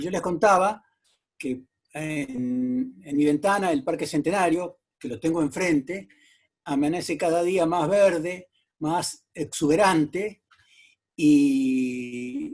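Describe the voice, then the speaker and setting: Against a quiet background, the speaker talks at a very slow pace. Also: man, fairly high pitch for a man, ordinary pitch variation. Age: 70s. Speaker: TV journalist. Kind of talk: interview.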